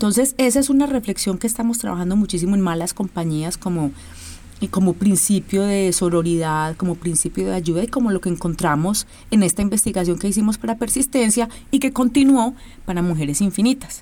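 A woman has a plain, everyday voice at a medium pitch. She speaks at a fairly quick pace with lively intonation. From Colombia, Medellín. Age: 40s. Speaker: choreographer and dance company director. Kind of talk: interview.

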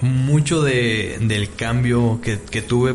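A man with a Mexican accent, medium pitch and ordinary pitch variation, over noticeable background noise. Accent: Mexican Spanish (Jalisco). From Mexico, Guadalajara (Jalisco). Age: 20s. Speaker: nanotechnology student. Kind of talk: casual interview.

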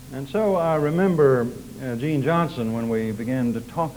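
In an American accent, a man speaks at a medium pitch and a moderate pace with ordinary pitch variation. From Oklahoma. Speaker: preacher. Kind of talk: sermon.

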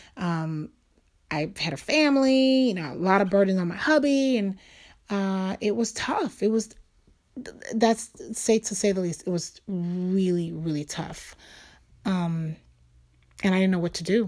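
Lively intonation in a New York accent, a fairly slow pace with long, frequent pauses, on a very clean recording with a silent background. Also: woman, medium pitch for a woman. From New York City, Lower East Side. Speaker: podcast host. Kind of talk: personal monologue. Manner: casual.

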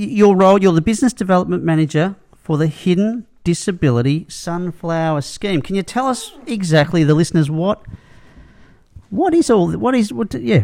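A man speaks at a moderate pace with an Australian accent. His voice is high-pitched for a man and swings very widely in pitch. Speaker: podcast host. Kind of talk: casual chat. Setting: studio.

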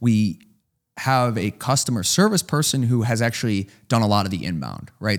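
A man with an ordinary speaking voice talks at a medium pitch in an American accent, with lively intonation. The recording is very clean, with a silent background. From US Midwest, Chicago. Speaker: hardware startup founder. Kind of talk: casual interview.

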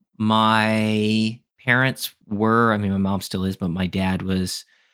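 An ordinary speaking voice with fairly even intonation sits on a very clean recording with a silent background. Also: man. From US Midwest, Chicago suburbs and Wisconsin. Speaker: podcast guest sharing life story. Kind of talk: casual chat.

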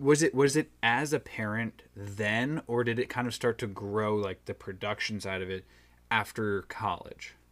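In a very clean recording with a silent background, a man with a plain, everyday voice speaks at a medium pitch and a moderate pace, using ordinary pitch variation. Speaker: podcast host. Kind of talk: casual interview chat.

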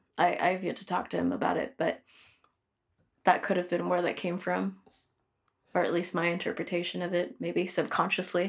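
A woman with an American accent, fairly low-pitched, with vocal fry, at a moderate pace with long, frequent pauses, on a very clean recording against a silent background. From US Pacific Northwest, Filipino American family. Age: 20s. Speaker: musician and podcast co-host. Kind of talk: casual interview conversation.

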